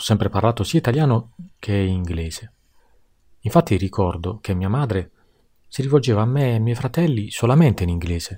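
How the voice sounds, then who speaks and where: On a very clean recording with a silent background, a man with a dark, mellow, somewhat breathy tone and a fairly low pitch speaks at a fairly quick pace with lively intonation and long, frequent pauses. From Tuscany, Pisa. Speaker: podcast guest. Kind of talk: scripted monologue.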